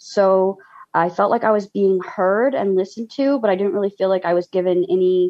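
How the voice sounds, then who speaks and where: A woman talks in a plain, everyday voice at a medium pitch. Her pace is moderate and her pitch variation ordinary. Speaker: former therapy client. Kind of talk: panel discussion.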